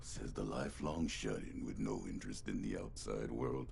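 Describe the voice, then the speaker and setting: A put-on character voice from a man, moderate in pace, over clear background noise. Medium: video game. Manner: gruff, menacing.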